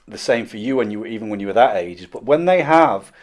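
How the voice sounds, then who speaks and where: A man with a plain, everyday voice, lively intonation and a fairly quick pace. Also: very clean recording, silent background. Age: 40s. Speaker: podcast host. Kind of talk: podcast interview.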